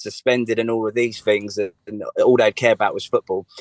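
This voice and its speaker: Speaking in a strong English accent, a man keeps a moderate pace and ordinary pitch variation, the sound dry and close with no echo. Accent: strong local English accent, as he notes. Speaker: singer-songwriter. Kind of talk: radio interview.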